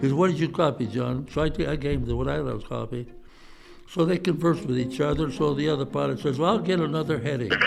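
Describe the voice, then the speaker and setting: A man with an American accent talks very fast at a fairly high pitch, with ordinary pitch variation. The room echo is audible and the background noise noticeable. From Ohio, US Midwest. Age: 90s. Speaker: war veteran. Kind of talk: oral history interview storytelling. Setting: senior living facility. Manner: halting, repeats words.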